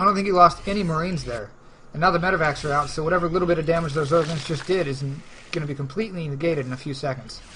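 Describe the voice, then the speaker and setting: A man with a fairly high pitch talks at a very fast pace against noticeable background noise. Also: ordinary pitch variation. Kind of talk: live commentary. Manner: stumbling over words.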